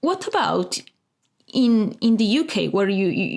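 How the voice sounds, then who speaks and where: A woman with an Italian accent speaks at a fairly high pitch. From Italy. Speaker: interviewer, show host. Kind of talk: interview. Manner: halting.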